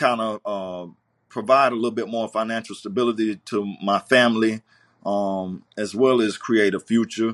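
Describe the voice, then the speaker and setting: Medium-pitched male voice with a Southern US accent, fairly slow pace and fairly even intonation, dry and close with no echo against a quiet background. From US South, Greenville, South Carolina. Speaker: trucking company owner. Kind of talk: interview. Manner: halting, many fillers.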